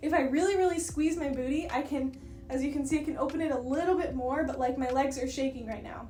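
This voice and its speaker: A woman speaks in a high pitch with ordinary pitch variation. Music plays in the background, and the room echo is audible. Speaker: dance teacher and content creator. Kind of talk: tutorial. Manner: casual and chatty.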